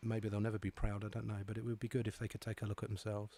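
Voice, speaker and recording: A man speaks very fast in a fairly low, somewhat breathy voice with a dark, mellow tone. His intonation stays monotone and flat, and the sound is dry and close with no echo. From Scotland. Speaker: live show host. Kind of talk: call-in show chat.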